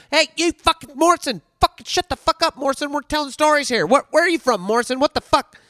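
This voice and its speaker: Putting on a squeaky character voice at an extremely high pitch, a man rattles along at a very fast pace with hardly any pauses. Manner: gruff, shouting, swearing.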